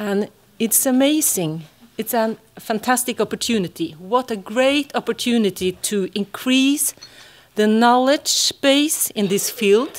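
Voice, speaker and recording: A woman with a Norwegian accent, fairly high in pitch with lively intonation at a fairly slow pace, on a very clean recording with a silent background. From Norway. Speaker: psychologist and university lecturer. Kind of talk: conference talk. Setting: conference hall with audience. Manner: halting.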